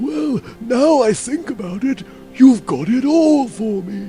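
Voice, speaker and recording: A put-on character voice with very wide pitch swings moves at a fairly slow pace over clear music in the background. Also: man, high pitch for a man. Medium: game stream.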